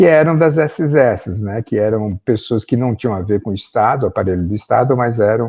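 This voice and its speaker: A man speaks in an ordinary speaking voice at a moderate pace. His pitch is fairly low, with ordinary variation. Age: 60s. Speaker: professor. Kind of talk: lecture. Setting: video call.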